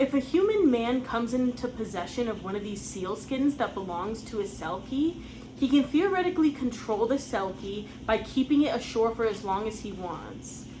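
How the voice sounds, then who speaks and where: With an American accent, a woman with an ordinary speaking voice and a fairly high pitch talks at a moderate pace, with lively intonation and hardly any pauses. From United States. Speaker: folklore channel host. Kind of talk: scripted narration.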